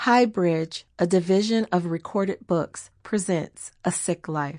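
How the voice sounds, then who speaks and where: A woman with an ordinary speaking voice and an American accent talks at a fairly slow pace and a medium pitch, with ordinary pitch variation. The sound is dry and close with no echo, over a quiet background. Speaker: singer. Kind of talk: audiobook memoir narration.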